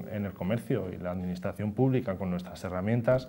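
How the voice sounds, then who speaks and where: A dark, mellow tone at a fairly quick pace. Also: man. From Spain, Cantabria (Torrelavega); Cantabria, Spain. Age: 30s. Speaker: local politician, deputy mayor. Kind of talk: TV interview. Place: studio. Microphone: lapel.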